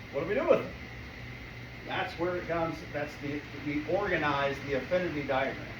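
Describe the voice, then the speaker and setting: A man's high-pitched voice at a fairly quick pace, with audible room echo and noticeable background noise. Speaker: business networking presenter. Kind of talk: presentation to a live meeting.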